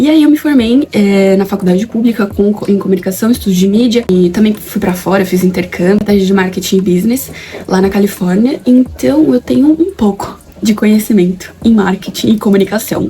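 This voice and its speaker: With noticeable background noise behind her, a woman of medium pitch talks at a fairly quick pace in an animated tone with lively intonation. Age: 20s. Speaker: YouTuber, aspiring actress. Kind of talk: casual vlog chat while doing makeup. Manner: animated, informal.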